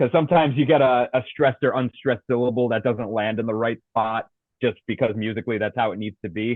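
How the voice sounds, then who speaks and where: With an American accent, a man talks at a very fast pace in a medium pitch. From US Northeast, Providence Rhode Island. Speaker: death metal vocalist. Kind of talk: interview.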